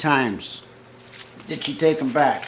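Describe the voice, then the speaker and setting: A man's voice over noticeable background noise. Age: 70s. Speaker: author. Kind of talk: reading his own story aloud.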